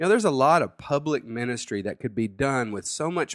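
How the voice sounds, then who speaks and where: A man's normal speaking voice at medium pitch, with ordinary pitch variation and a fairly quick pace, on a very clean recording against a silent background. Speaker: pastor. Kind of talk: sermon. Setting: home studio.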